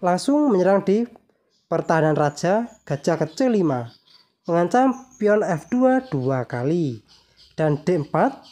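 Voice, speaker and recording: A woman's fairly low, dark, mellow voice at a fairly slow pace, with very wide pitch swings and very even loudness. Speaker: chess YouTuber. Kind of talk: tutorial. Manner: slightly quieter than usual.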